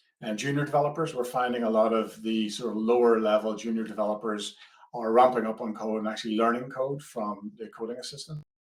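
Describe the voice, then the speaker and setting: With an Irish accent, a man speaks at a very fast pace, his medium-pitched voice holding fairly even intonation. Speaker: product manager. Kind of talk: webinar presentation. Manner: hesitant, many fillers.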